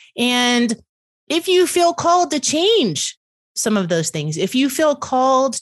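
A woman with a Southern US accent at a fairly slow pace, very wide pitch swings, a dry, close sound with no echo and a quiet background. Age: 50s. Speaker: podcast host. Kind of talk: casual interview chat.

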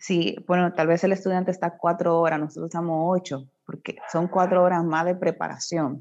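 At a moderate pace with hardly any pauses, a woman speaks in a fairly low pitch and monotone, flat intonation against a quiet background. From Dominican Republic, Puerto Plata. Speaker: teacher. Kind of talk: interview.

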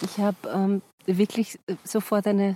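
The voice has a dark, mellow tone, captured dry and close with no echo. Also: woman. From Austria, Vienna. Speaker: actress and musical singer. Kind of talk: casual chat. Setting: outdoors on a mountain walk.

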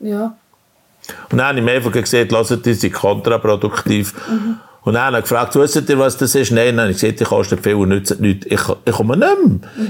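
A man's voice with very wide pitch swings. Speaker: farmer. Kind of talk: testimony.

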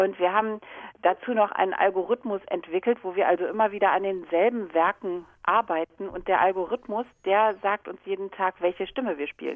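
Fairly quick and fairly even in intonation, a woman speaks. Hers is a plain, everyday voice. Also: medium pitch for a woman. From Germany. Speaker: viola da gamba player and teacher. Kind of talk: interview. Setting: phone call.

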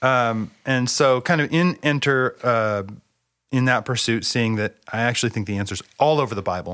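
A man with an American accent speaks at a moderate pace and a medium pitch, with ordinary pitch variation, on a very clean recording with a silent background. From US Pacific Northwest (Bellingham, Washington). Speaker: seminary professor. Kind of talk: casual theological conversation.

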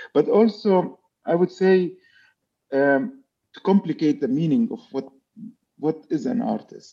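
A man with an Arabic accent speaks at a fairly slow pace in a high-pitched voice with a dark, mellow tone, lively intonation, and long, frequent pauses. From Palestine. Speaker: architect and visual artist. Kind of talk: interview. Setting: video call. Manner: halting.

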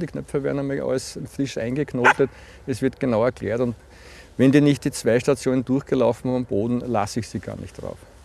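This man talks at a very fast pace, his medium pitch carried on fairly even intonation. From Lower Austria, Puchberg am Schneeberg. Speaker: team-building trainer and social pedagogue. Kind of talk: casual interview. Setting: outdoors.

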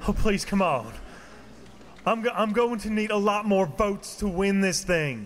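A man puts on a whiny character voice, high for a man. He delivers it at a fairly slow pace. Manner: whiny, pleading.

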